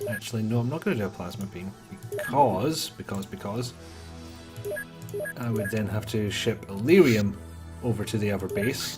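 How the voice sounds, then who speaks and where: With music in the background, a man talks at a moderate pace and fairly low pitch, using ordinary pitch variation. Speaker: let's play gamer. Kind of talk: casual gameplay commentary.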